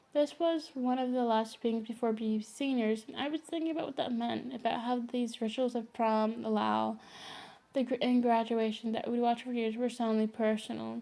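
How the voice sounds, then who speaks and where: Soft-spoken and fairly high-pitched, a woman talks at a moderate pace with fairly even intonation. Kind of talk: read story.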